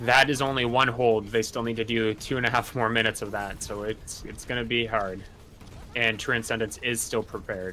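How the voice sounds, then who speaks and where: Fairly quick, monotone, flat speech from a man at medium pitch, with music in the background. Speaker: Overwatch tournament caster. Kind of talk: esports match commentary, color analysis.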